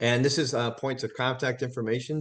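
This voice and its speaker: Very fast speech comes from a man. The background is quiet. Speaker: workforce development director. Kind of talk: webinar presentation.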